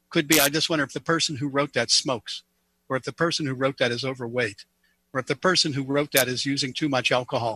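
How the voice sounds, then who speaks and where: A man talks very fast with an American accent in a bright, sharp tone. The intonation is fairly even, and the sound is dry and close with no echo. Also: fairly high pitch for a man. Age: 60s. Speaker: economist and university professor. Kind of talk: political panel discussion.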